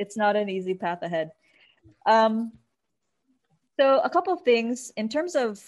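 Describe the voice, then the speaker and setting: A woman with an American accent talks at a fairly slow pace with lively intonation. The background is quiet. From US. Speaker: nonprofit founder. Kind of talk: interview.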